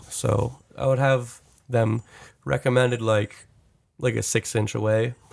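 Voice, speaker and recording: Over a fairly slow pace with long, frequent pauses, a man speaks at a medium pitch with vocal fry, fairly even intonation and very even loudness, in a dry, close sound with no echo. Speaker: recording engineer and music producer. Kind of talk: casual chat.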